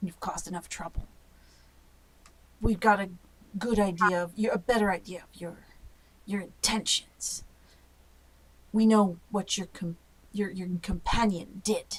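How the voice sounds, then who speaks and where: A gruff, female-sounding put-on character voice at medium pitch moves at a moderate pace, broken by long, frequent pauses. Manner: hostile.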